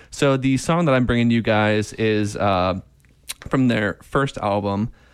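A man speaks in a plain, everyday voice at a fairly low pitch. His pitch variation is ordinary and his pace fairly slow. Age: 30s. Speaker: podcast co-host. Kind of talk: casual chat.

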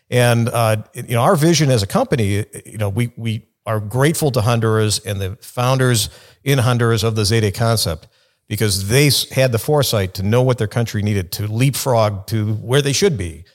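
A man speaks at a moderate pace with a Chicago accent, his pitch medium and its variation ordinary. The recording is very clean, with a silent background. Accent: Chicago American English. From US Midwest, Chicago. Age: 50s. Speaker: lawyer, company general counsel. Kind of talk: podcast interview.

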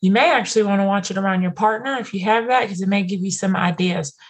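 A woman's somewhat breathy voice races along at a very fast pace. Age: 30s. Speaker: podcast host. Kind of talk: casual chat.

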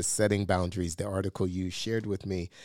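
A man speaks in a normal speaking voice, fairly low-pitched, with fairly even intonation. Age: 50s. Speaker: podcast co-host, pastor. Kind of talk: casual chat. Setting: studio.

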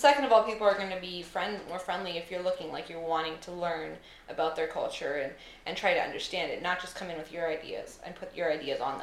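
Speech at a very fast pace, with ordinary pitch variation and big swings in loudness, comes through audible room echo and noticeable background noise. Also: woman, fairly low pitch for a woman. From Costa Rica and Canada. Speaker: podcast guest. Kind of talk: casual chat.

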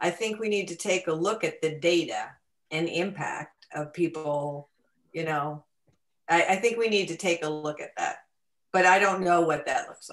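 A woman with an American accent talks in a normal speaking voice, fairly low in pitch with ordinary pitch variation. Her loudness swings widely. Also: moderate pace. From US Northeast (Connecticut). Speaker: educator, former high school teacher. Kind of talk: casual political discussion.

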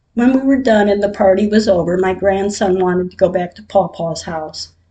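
Somewhat breathy, the voice comes across clearly. Its tone is dark and mellow. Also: woman. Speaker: podcaster sharing personal grief diary. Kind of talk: personal diary reading.

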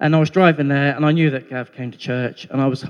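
Using fairly even intonation, a man speaks in a plain, everyday voice. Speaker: baptism candidate. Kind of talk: testimony.

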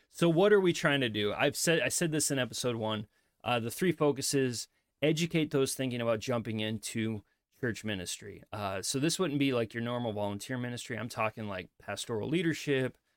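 In a Midwestern accent, a man speaks at a medium pitch and a fairly quick pace. His intonation is lively, and the recording is very clean with a silent background. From US Midwest. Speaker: pastor and podcast host. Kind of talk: solo podcast monologue. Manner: casual, with frequent fillers.

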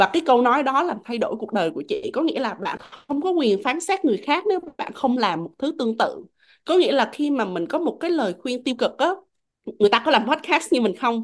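Her pitch high and her pace moderate, a woman talks with very wide pitch swings. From Vietnam. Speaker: podcast host. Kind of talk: casual chat. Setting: video call.

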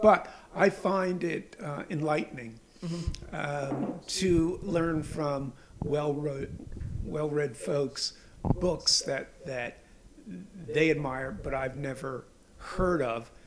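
Noticeable background noise surrounds a man with a fairly high pitch. He speaks at a very slow pace with ordinary pitch variation. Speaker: podcast host, reporter. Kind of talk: casual chat. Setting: home, recording at kitchen table.

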